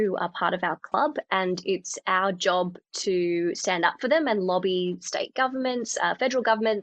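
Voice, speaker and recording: A woman with an Australian accent talks at a moderate pace in a medium-pitched voice with ordinary pitch variation, the sound dry and close with no echo over a quiet background. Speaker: communications manager, former TV reporter. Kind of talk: podcast interview. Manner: conversational with fillers.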